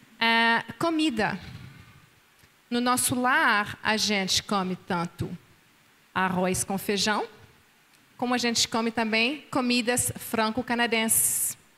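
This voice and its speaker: The speaker talks very slowly in a French accent, with long, frequent pauses. Loudness stays very even, and pitch variation is ordinary. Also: woman, fairly high pitch for a woman. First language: French (speaking Portuguese). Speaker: pastor's wife, seminar speaker. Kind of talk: marriage seminar dialogue. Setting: conference with live and online audience.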